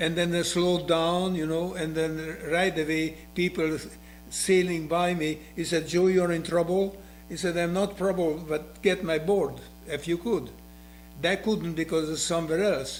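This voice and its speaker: Speaking at a fairly slow pace, a man uses a high pitch and a Hungarian accent. His intonation is monotone and flat. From Hungary. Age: 80s+. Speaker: retired skier and windsurfer. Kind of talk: interview. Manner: halting.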